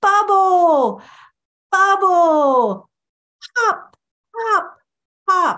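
A put-on character voice, squeaky and extremely high in pitch. It squeaks all the way through. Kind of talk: educational vlog talk, demonstrating a song phrase. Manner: exaggerated, animated.

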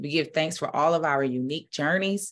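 A woman speaks with a fairly low pitch and ordinary pitch variation. The background is quiet. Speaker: spiritual minister. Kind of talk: prayer, then casual sermon talk. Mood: calm, reverent. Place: home room. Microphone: webcam.

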